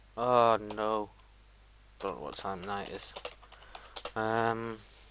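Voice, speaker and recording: A man's fairly even intonation comes across with noticeable noise behind him. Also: fairly low pitch for a man. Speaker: gaming video creator. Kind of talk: gameplay commentary. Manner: fast; casual, hesitant with many ums.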